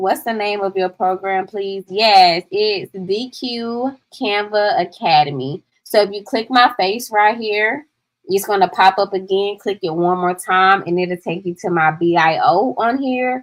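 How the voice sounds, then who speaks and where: Speaking fairly slowly with an American accent, a woman uses ordinary pitch variation. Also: medium pitch for a woman. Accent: Southern accent, people often remark on it. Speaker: digital product coach. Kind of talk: livestream tutorial. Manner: casual, chatty.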